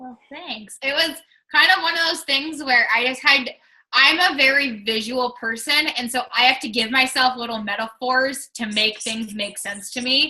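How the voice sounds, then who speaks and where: A woman with a high pitch speaks in a raised, projected voice with a bright, sharp tone, ordinary pitch variation, big swings in loudness and a moderate pace. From Washington State, US Pacific Northwest. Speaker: fitness coach. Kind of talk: casual chat.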